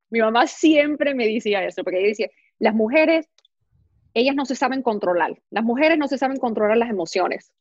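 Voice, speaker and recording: A woman speaks in an animated tone at a fairly quick pace and fairly high pitch. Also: lively intonation. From US, New York. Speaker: fashion and beauty blogger, actress. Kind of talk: casual interview. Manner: animated, talks with hands.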